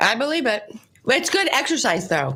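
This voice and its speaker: A woman's voice at a moderate pace with very wide pitch swings. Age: 50s. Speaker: radio show co-host. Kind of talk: casual chat. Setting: studio.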